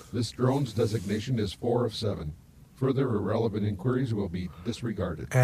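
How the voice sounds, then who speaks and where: A man puts on a robotic character voice at a medium pitch. He speaks at a fairly quick pace. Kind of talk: cold, mechanical. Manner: flat, robotic.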